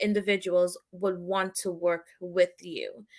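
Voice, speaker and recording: In a slight Trinidadian accent, a woman speaks at a fairly slow pace. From Trinidad and Tobago. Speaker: branding expert and army veteran. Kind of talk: interview. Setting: live online broadcast.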